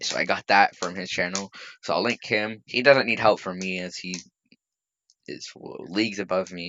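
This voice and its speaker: With big swings in loudness, a man speaks at a moderate pace in a very deep, low pitch with ordinary pitch variation. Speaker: anime fan YouTuber. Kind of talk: unscripted outro chat. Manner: halting, rambling.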